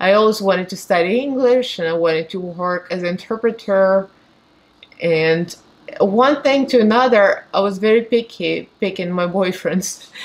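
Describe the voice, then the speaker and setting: At a moderate pace, a woman with a Russian accent speaks at a medium pitch with ordinary pitch variation. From Moldova. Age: 40s. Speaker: beauty vlogger. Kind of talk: casual get-ready-with-me chat. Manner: talkative.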